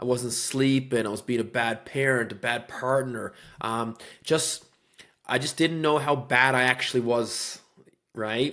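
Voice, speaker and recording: In a Newfoundland accent, a man speaks at a fairly slow pace with a medium pitch. His tone is bright and sharp, and his intonation fairly even. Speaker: real estate agent, former police officer. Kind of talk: podcast interview.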